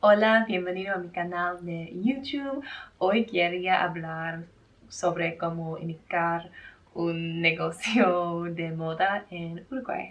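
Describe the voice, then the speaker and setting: In an English accent, a woman speaks at a very slow pace with a fairly low pitch and ordinary pitch variation. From Australia. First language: English (speaking Spanish). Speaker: fashion brand owner, vlogger. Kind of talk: vlog talk to camera. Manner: careful, partly reading notes.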